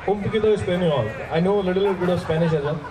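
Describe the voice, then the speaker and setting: Noticeable background noise runs behind a man talking at a very fast pace. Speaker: radio jockey and emcee. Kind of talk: casual English conversation with a guest on stage. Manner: upbeat, playful. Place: stage. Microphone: handheld.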